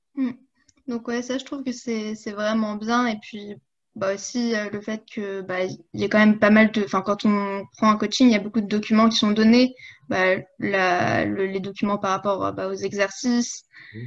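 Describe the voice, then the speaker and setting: A woman's fairly high voice holds fairly even intonation over a quiet background. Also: fairly slow pace. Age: 20s. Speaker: coaching client and fitness influencer. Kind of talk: casual interview. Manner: hesitant, many fillers.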